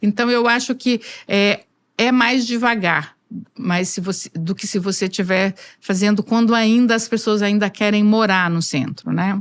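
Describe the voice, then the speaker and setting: A woman with an unremarkable speaking voice and medium pitch talks at a fairly slow pace with ordinary pitch variation, in a very clean recording with a silent background. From Brazil, rural interior. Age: 60s. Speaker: engineer, construction association president. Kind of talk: interview.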